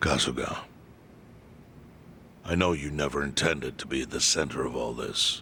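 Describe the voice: Put-on character voice from a man, extremely low with vocal fry, a bright, sharp tone and ordinary pitch variation. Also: moderate pace.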